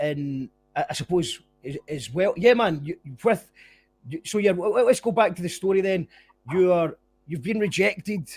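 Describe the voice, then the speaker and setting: With a Scottish accent, a man speaks high in pitch with lively intonation at a moderate pace. He takes long, frequent pauses, and the sound is dry and close with no echo. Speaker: podcast host. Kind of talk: casual interview chat.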